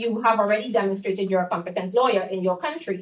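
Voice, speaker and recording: Her voice is somewhat breathy, a woman's at medium pitch with ordinary pitch variation. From Trinidad and Tobago. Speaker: lawyer. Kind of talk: talk with Q&A. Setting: college speaking engagement.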